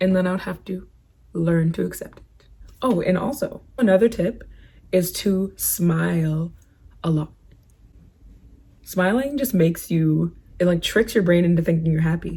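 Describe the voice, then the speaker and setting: Somewhat breathy and dark, mellow in tone, a woman speaks at a moderate pace with big swings in loudness and long, frequent pauses. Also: ordinary pitch variation. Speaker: beauty and lifestyle vlogger. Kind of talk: casual advice vlog. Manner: casual, chatty.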